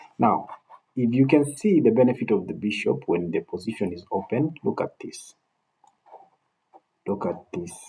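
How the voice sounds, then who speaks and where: At a moderate pace but with long, frequent pauses, a man speaks in a medium pitch with a dark, mellow, somewhat breathy tone, very wide pitch swings and big swings in loudness. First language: not English. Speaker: chess coach. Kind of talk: tutorial. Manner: halting, repeats words.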